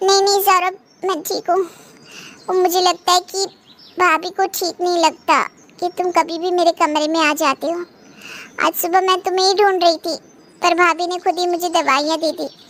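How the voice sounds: A cartoonish character voice, fairly quick but flat and monotone, broken by long, frequent pauses. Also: woman, extremely high pitch for a woman.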